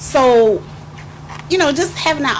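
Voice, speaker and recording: Lively intonation from a woman, with audible room echo and noticeable background noise. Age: 50s. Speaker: grandparent sharing life story. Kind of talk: testimony. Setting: youth meeting in a hotel.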